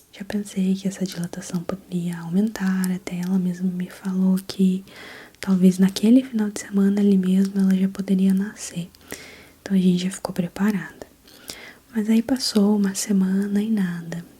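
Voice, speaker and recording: Over noticeable background noise, a soft-spoken woman at medium pitch talks at a moderate pace in a gentle, relaxed tone with monotone, flat intonation. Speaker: ASMR content creator and new mother. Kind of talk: ASMR personal storytelling, birth story told casually. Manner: soft, gentle, relaxed.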